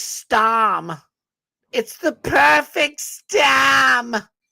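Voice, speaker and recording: In a put-on character voice with a Boston accent, a female-sounding voice pitched fairly high swings very widely in pitch. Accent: exaggerated fake Boston. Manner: mocking.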